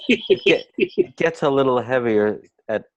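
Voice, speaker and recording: Against a quiet background, a man talks with a Bronx accent. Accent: New York, Bronx. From US Northeast, the Bronx. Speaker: clinical psychologist. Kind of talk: interview.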